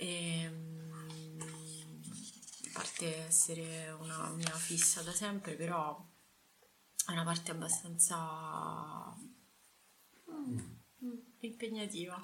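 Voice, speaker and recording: A woman with a fairly low pitch speaks at a very slow pace, leaving long, frequent pauses. Her intonation is fairly even, with noticeable background noise and audible room echo. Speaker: podcast host. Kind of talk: casual interview.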